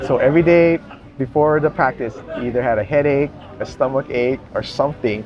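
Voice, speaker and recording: Amid noticeable background noise, a man with a fairly high voice and ordinary pitch variation speaks at a fairly quick pace, broken by long, frequent pauses. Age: 60s. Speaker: podcast host, jiu-jitsu practitioner. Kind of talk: casual interview.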